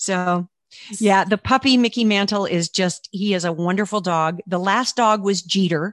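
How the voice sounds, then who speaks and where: A woman has a normal speaking voice at medium pitch, with fairly even intonation. She keeps a moderate pace, and the sound is dry and close with no echo. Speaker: author. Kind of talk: casual interview.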